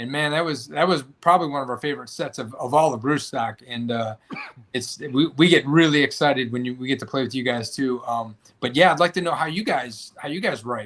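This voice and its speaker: Here is a man with an ordinary speaking voice and a medium pitch. He talks at a fairly quick pace with ordinary pitch variation. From Chicago. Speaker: podcast host and band musician. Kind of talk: casual interview chat. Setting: live podcast.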